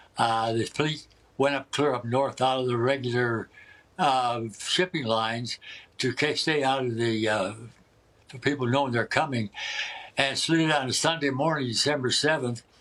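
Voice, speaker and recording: A man with a medium pitch, fairly even intonation and a moderate pace, amid noticeable background noise. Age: 90s. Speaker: war veteran. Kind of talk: interview. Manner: halting.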